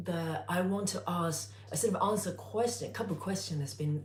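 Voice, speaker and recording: A woman with a very deep, low pitch swings her pitch very widely, with audible room echo. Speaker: cooking youtuber. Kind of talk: live stream tutorial. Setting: home, live stream on tripod. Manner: hesitant, many fillers.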